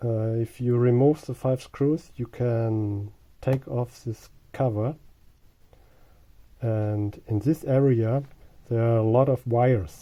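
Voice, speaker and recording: A man with a German accent speaks very slowly at medium pitch in a dark, mellow tone, with fairly even intonation and long, frequent pauses. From Germany. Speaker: car owner. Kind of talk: tutorial. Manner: halting.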